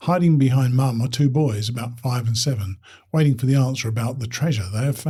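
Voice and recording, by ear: Natural reading aloud, pitch varying in an ordinary way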